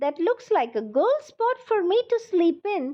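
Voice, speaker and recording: A woman's squeaky put-on character voice, extremely high in pitch, with very wide pitch swings and a fairly slow pace. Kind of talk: bedtime story. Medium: read story.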